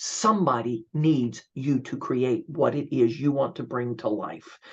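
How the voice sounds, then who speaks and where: Vocal fry at a fairly slow pace. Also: man. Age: 60s. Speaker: gratitude speaker and coach. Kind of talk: interview conversation. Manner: animated.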